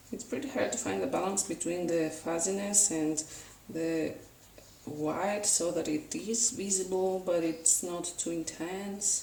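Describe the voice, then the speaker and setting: A woman speaks at a fairly slow pace in a fairly low voice, with ordinary pitch variation. There is audible room echo and noticeable background noise. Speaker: art tutorial youtuber. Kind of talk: painting tutorial narration.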